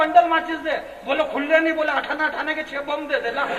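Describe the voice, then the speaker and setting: A man keeps to a moderate pace while noticeable background noise carries on around him. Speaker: comedic poet. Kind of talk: live comic poetry performance to audience.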